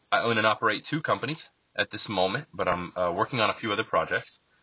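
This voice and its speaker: An unremarkable speaking voice with an American accent moves at a fairly quick pace. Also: man. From central Florida, US. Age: 30s. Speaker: podcast host and author. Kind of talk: reading aloud from own book.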